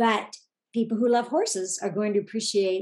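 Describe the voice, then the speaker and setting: In an American accent, a woman with an ordinary speaking voice talks at a moderate pace and fairly high pitch with ordinary pitch variation. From Oregon, US Pacific Northwest. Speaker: author. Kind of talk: interview.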